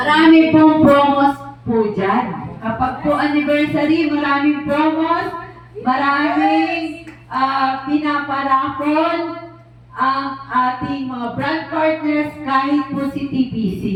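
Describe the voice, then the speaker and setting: A woman's high-pitched voice at a very slow pace, with fairly even intonation, noticeable background noise and audible room echo. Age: 60s. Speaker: company president and CEO. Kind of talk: motivational speech.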